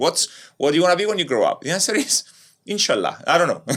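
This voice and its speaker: A man speaks very fast in a Cypriot Greek accent, his pitch high and swinging very widely. The recording is very clean, with a silent background. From Cyprus, Nicosia. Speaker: entrepreneur. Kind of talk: podcast interview. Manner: animated.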